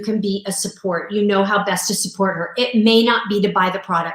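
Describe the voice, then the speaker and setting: A woman at a moderate pace. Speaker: sales coach and mentor. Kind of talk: live-streamed sales launch party. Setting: live video stream. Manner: animated.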